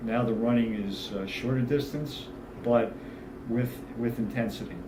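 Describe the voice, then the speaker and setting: A man's medium-pitched, monotone voice at a fairly slow pace, with audible room echo. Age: 60s. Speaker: fitness client giving testimonial. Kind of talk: testimonial interview. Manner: halting, many fillers.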